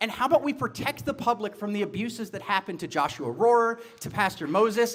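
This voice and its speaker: A man speaks in a high, loud voice with an energetic tone. His pace is fairly quick. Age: 40s. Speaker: political candidate. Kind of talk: campaign speech. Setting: bar event with audience. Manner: energetic, loud.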